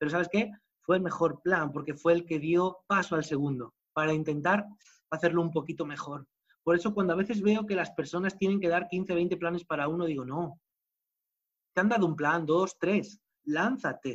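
Pitch shifts in an ordinary way. The speech moves at a moderate pace. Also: man, high pitch for a man. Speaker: network marketing speaker. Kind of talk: motivational talk.

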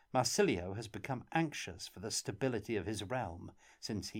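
The speaker is reading aloud in a natural voice. The words are read in that manner throughout.

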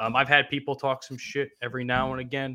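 A man talks with a New Jersey accent. His pitch is medium and his pace moderate. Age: 20s. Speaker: podcast host. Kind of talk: casual chat.

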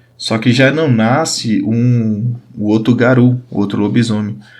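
Speaking very slowly, a man keeps a medium pitch and varies it in an ordinary way. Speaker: podcast host and RPG game master. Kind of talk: solo explanatory podcast. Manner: casual and chatty.

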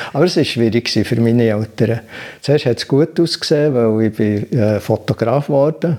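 With a dark, mellow tone, a man speaks at medium pitch and a moderate pace. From Switzerland, Bern. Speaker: meditation teacher. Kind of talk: interview. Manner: hesitant, many filler sounds.

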